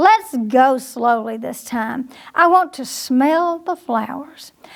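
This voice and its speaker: The voice is a put-on character. Its delivery is very slow. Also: woman, high pitch for a woman. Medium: read story.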